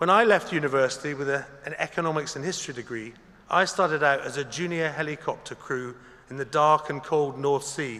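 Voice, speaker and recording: With an ordinary speaking voice, a man talks at a fairly quick pace, his fairly high pitch held to fairly even intonation. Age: 60s. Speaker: graduation ceremony speaker. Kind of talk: commencement speech. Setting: concert hall with audience. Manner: formal.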